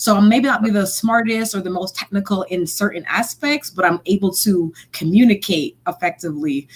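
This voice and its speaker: A woman's somewhat breathy voice at a medium pitch. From Montreal, Canada. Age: 30s. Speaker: software engineer and stand-up comedian. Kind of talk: casual interview. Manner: fast.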